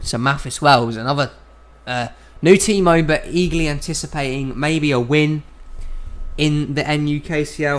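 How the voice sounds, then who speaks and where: A man with a British accent, fairly high in pitch, with fairly even intonation. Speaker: sim racing league commentator. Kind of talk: live commentary. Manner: casual, somewhat halting.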